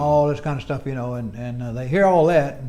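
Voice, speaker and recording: Words pour out of a man very fast. His pitch rises and falls normally. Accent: American. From United States. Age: 80s+. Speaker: retired engineer. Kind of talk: interview answer.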